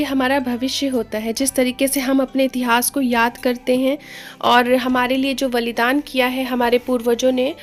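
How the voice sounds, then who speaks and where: Over music in the background, a woman speaks at a high pitch and a fairly slow pace. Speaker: vlogger. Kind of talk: vlog voice-over.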